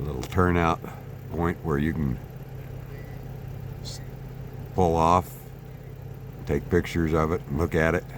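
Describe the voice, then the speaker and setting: Very deep, low male voice at a fairly slow pace, with long, frequent pauses and noticeable background noise. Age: 60s. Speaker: travel vlogger. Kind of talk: travel vlog narration. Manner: casual, with frequent fillers.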